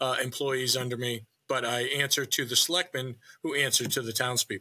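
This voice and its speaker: At a fairly quick pace, a man with a slight New Hampshire accent speaks at a medium pitch with a bright, sharp tone and fairly even intonation. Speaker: town manager and real estate broker. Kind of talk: casual interview.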